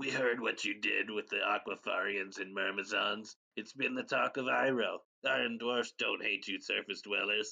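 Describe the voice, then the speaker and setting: A man puts on a character voice at a medium pitch. The sound is raspy. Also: moderate pace. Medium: audio drama.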